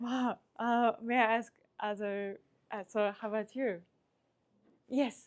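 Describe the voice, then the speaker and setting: A woman speaks very slowly in a fairly high voice, leaving long, frequent pauses. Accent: Japanese. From Japan. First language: Japanese. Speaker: climate nonprofit project manager. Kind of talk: presentation with audience interaction. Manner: animated; halting.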